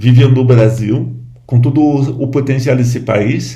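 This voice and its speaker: A man speaks in a dark, mellow tone that is somewhat breathy. His pitch varies in an ordinary way, and audible room echo surrounds him. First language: French (speaking Portuguese). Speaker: Buddhist lama. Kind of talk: informal talk to camera. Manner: halting.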